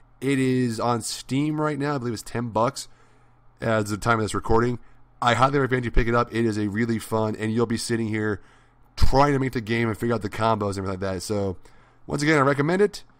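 A man speaks at a very fast pace in a medium pitch. His pitch varies in an ordinary way. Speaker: gaming youtuber. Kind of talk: let's play commentary. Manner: halting.

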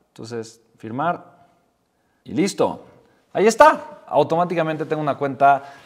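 At a moderate pace, a man speaks in an animated tone with ordinary pitch variation against a quiet background. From Mexico. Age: 30s. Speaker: entrepreneur and YouTuber; YouTuber. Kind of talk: tutorial. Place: home room.

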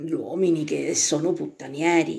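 A woman speaks at a very slow pace, her pitch fairly low. The background is quiet. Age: 60s. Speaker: self-described psychic and vlogger. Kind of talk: casual monologue to camera. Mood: indignant, gossipy commentary. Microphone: phone near.

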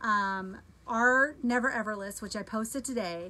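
A woman speaks in a bright, sharp tone. Her pitch varies in an ordinary way. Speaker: home cooking product seller. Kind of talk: live stream product demo chat. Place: kitchen. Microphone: phone near.

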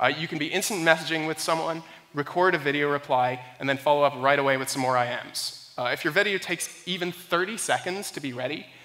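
A man speaks at a fairly quick pace with ordinary pitch variation. His voice is fairly high-pitched, with a bright, sharp tone.

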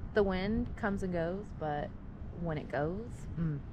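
The speech moves at a moderate pace with a dry sound and no echo, though noticeable background noise runs underneath. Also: woman. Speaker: vlogger. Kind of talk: casual vlog chat. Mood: relaxed, cheerful. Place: street. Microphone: phone near.

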